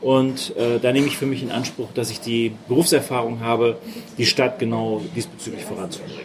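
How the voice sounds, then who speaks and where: A man talks fairly quickly, his pitch varying in an ordinary way while noticeable background noise persists. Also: medium pitch for a man. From Hamburg, northern Germany. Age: 50s. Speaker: mayoral candidate. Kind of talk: interview.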